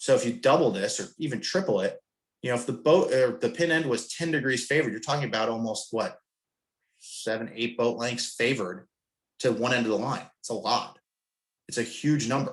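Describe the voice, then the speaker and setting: Here a man talks at a fairly quick pace. His pitch is medium, with ordinary variation. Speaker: sailing coach presenter. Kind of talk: webinar presentation. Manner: fast; casual.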